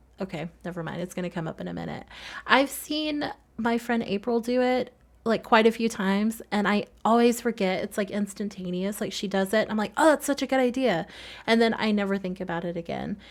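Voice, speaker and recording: Soft-spoken and fairly high-pitched, the woman talks at a fairly quick pace with ordinary pitch variation. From US South. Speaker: gaming video creator. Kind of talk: casual voiceover commentary. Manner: fast.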